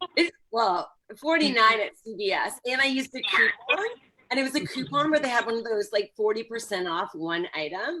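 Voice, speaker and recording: Animated in tone, a woman speaks at a fairly high pitch with very wide pitch swings. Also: moderate pace. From Canada. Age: 40s. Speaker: stand-up comedian. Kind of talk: stand-up. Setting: video call.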